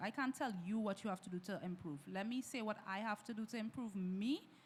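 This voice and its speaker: A loud woman at a fairly quick pace amid noticeable background noise. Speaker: minister. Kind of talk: casual panel discussion. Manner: animated.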